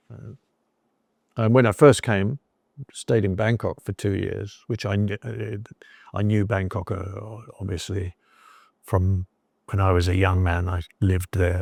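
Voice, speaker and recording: Speaking with a southern English accent, a man with a fairly low pitch and a somewhat breathy voice talks at a fairly slow pace with fairly even intonation and long, frequent pauses, in a dry, close recording with no echo. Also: very clean recording, silent background. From southern England. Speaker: expat storyteller. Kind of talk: interview. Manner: halting, many fillers and repetitions.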